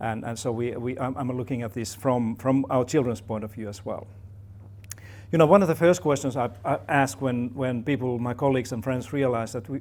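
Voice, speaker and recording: The speech comes in a Finnish accent at a fairly quick pace. Pitch variation is ordinary. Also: man, medium pitch for a man. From Finland. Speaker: professor. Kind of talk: talk to an audience. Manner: halting, many fillers and repeats.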